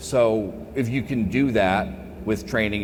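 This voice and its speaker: A man with an American accent, animated in tone and lively in intonation, amid noticeable background noise and audible room echo. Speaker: cybersecurity keynote speaker. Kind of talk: conference Q&A. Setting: stage with audience. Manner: loud.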